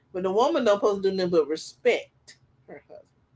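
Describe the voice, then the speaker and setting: A woman speaks with ordinary pitch variation. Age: 40s. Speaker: podcast co-host. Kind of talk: casual group discussion. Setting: live stream. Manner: animated.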